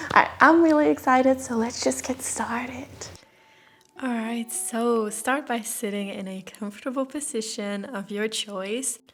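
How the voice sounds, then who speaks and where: Over noticeable background noise, a woman talks at a fairly slow pace with a fairly high pitch and ordinary pitch variation. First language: Dutch. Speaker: yoga teacher. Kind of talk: scripted voiceover; guided yoga class.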